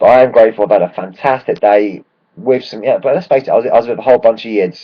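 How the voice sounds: In a put-on character voice, a man speaks very fast at a medium pitch, croaky, raspy and hoarse.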